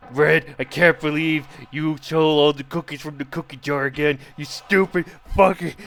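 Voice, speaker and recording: A man's put-on character voice, fairly high-pitched and monotone, at a moderate pace, with big swings in loudness. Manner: scornful, full of contempt.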